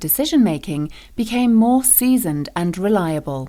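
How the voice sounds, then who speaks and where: A woman's dark, mellow voice with very wide pitch swings, in a very clean recording over a silent background. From Britain. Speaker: voice actor. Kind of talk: corporate training narration.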